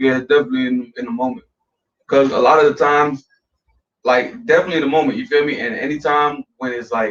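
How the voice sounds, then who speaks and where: A man speaks very fast, his fairly high voice carrying lively intonation. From West Orlando, Florida. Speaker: rapper. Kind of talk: interview. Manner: casual, repetitive fillers.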